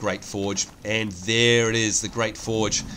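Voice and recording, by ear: With a fairly bright tone, a man speaks at a medium pitch.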